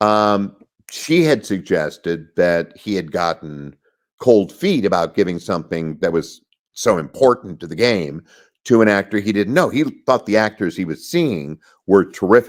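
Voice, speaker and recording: A man with an ordinary speaking voice uses lively intonation at a fairly low pitch and moderate pace on a very clean recording with a silent background. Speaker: voice actor. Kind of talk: interview answer. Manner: conversational, storytelling.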